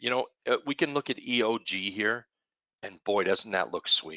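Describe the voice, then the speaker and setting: A man's fairly slow speech with vocal fry. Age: 60s. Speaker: trading educator. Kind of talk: webinar presentation.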